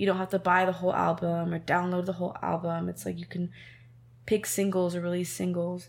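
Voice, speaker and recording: With an American accent, a woman talks at a fairly quick pace in a fairly low pitch and a monotone, flat intonation. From Southern California, Temecula. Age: 20s. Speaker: singer-songwriter. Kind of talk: interview.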